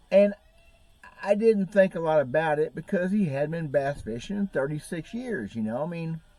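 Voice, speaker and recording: A man with an American accent at a high pitch, lively intonation and moderate pace. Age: 60s. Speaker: bass fishing YouTuber. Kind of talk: casual vlog talk.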